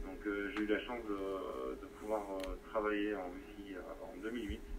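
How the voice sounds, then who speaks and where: The speech moves at a fairly slow pace with fairly even intonation. Audible room echo can be heard. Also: man. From France. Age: 40s. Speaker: amateur radio operator. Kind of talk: amateur radio contact. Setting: radio transmission. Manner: halting.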